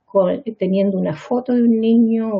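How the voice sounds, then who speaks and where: A woman with a Chilean accent, somewhat breathy, at a moderate pace with fairly even intonation. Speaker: pediatrician and psychiatrist. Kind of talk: lecture. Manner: halting, with frequent repetitions.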